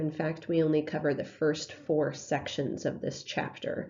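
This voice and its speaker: A woman talks at a moderate pace while the room's echo is clearly audible. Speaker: math teacher. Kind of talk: lecture. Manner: hesitant, many fillers.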